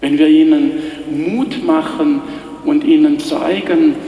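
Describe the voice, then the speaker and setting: A man's voice with music playing in the background. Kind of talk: sermon. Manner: earnest, persuasive, steady pulpit delivery; rhythmic, building repetition ('immer mehr, immer schöner').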